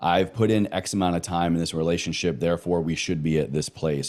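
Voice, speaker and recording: Fairly quick, fairly even-toned speech with an American accent, on a very clean recording against a silent background. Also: man. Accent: slight Southern, occasionally noticeable. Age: 30s. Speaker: wellness coach and podcaster. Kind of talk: casual chat. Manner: emphatic.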